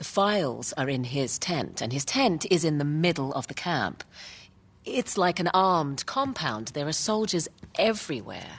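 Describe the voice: Putting on a character voice, a woman speaks low with a slightly husky edge, at a fairly slow pace with big pitch swings.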